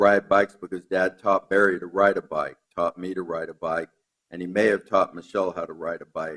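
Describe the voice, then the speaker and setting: A man with an American accent talks at a fairly quick pace, recorded dry and close with no echo. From Long Island, New York. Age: 50s. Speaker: eulogist, son of the deceased. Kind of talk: eulogy. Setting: memorial service at a law school.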